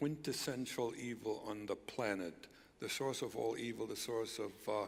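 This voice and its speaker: A man speaks at a medium pitch with fairly even intonation, and the room echo is audible. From East Germany. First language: German. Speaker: former spy, speaker. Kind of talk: stage interview. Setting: church stage with audience.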